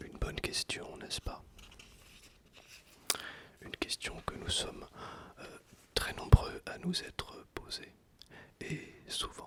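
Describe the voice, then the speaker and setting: A man whispers at a very slow pace, with long, frequent pauses and big swings in loudness. Noticeable background noise sits behind him. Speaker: ASMR creator. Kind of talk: ASMR talk to viewers. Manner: whispered; soft-spoken, slow.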